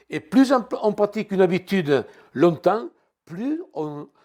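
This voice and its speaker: High-pitched male speech at a fairly slow pace with lively intonation, in a very clean recording with a silent background. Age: 70s. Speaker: guest preacher. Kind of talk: sermon. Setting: church. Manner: halting, repeats words.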